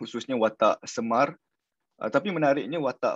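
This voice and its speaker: Ordinary pitch variation from a man at a moderate speed, over a quiet background. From Peninsular Malaysia. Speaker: PhD candidate researching political satire; candidate. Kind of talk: webinar presentation. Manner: halting, many repetitions. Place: home room. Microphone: video call.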